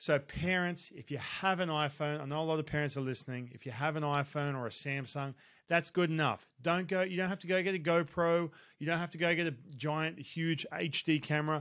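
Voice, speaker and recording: Speaking with an Australian accent, a man with a fairly high pitch talks at a fairly quick pace in an animated tone, captured in a very clean recording with a silent background. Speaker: baseball coach and podcast host. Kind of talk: solo podcast advice talk.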